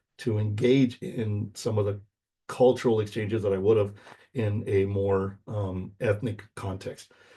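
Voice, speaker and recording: Against a quiet background, a man speaks fairly slowly in a fairly low, somewhat breathy voice with a dark, mellow tone and fairly even intonation. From US, Mexican American community. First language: Spanish. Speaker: university instructor. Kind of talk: lecture. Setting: recorded video lecture. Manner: casual, many fillers.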